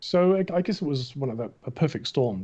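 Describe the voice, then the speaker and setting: A somewhat breathy man's voice with an Australian accent and a dark, mellow tone. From Australia, Melbourne. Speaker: film concept artist. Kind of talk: interview. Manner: animated.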